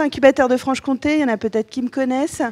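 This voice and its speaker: The woman's voice sits high in pitch, with a dry, close sound and no echo. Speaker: lawyer and startup incubator adviser. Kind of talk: conference talk. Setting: conference room with audience. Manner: hesitant, many fillers.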